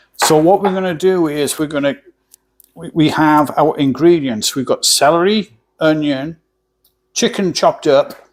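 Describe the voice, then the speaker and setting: In an English accent, a man speaks very slowly. His pitch varies in an ordinary way. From England. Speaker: cooking channel host. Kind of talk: cooking tutorial. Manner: casual, halting.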